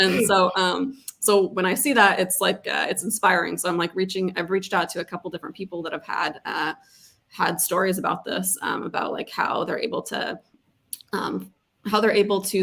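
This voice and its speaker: Fairly quick and fairly even in intonation, a woman talks with vocal fry. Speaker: content marketer. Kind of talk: casual chat. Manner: fast; hesitant, many fillers.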